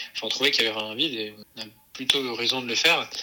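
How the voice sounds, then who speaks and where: Over noticeable background noise, the speaker talks at a very fast pace with fairly even intonation. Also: man. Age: 20s. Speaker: entrepreneur, co-founder of an outdoor activities company for children. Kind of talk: interview. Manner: halting, many fillers and repetitions.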